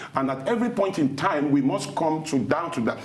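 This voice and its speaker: An animated man at a very fast pace, fairly high in pitch with ordinary pitch variation, amid noticeable background noise and audible room echo. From Nigeria, Yoruba Ijebu area. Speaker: thought leader, TV interview guest. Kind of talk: TV interview. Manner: animated, emphatic.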